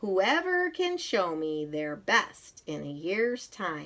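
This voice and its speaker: The speaker puts on a character voice, pitched in the middle range and delivered very slowly. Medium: read story.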